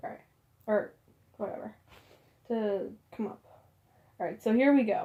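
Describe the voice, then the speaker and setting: A woman mumbles in a somewhat breathy, fairly high voice with a dark, mellow tone, lively intonation, big swings in loudness, and long, frequent pauses. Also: moderate pace. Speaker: amateur fiction writer reading own story. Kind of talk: casual talk to camera. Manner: mumbling.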